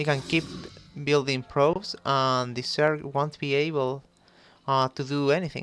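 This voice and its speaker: Over music in the background, someone speaks fairly slowly with a Spanish accent. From Chile. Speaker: esports caster. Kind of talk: live commentary. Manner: halting, many fillers.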